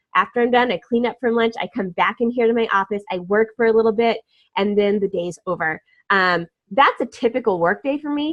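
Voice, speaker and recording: Very fast and upbeat, a woman speaks at a fairly high pitch. Her pitch moves in an ordinary way. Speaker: online business coach. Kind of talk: casual talk to camera.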